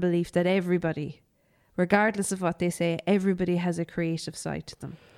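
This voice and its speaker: In a very clean recording with a silent background, a woman talks with a fairly low pitch. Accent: Irish. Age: 30s. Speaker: podcast host. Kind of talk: casual chat.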